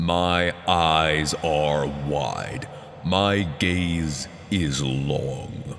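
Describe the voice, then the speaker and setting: A booming, very deep, low-pitched put-on character voice from a man, very slow in pace, over clear background noise. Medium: read story. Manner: solemn, prophetic.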